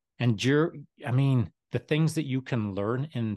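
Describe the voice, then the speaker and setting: With a Canadian accent, a man speaks with ordinary pitch variation in a dry, close sound with no echo and a quiet background. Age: 60s. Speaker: retired special forces soldier. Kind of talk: casual interview. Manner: animated.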